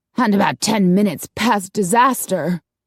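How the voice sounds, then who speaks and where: A growling, put-on character voice moves along at a moderate pace. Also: female-sounding voice, medium pitch for a woman. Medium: read story.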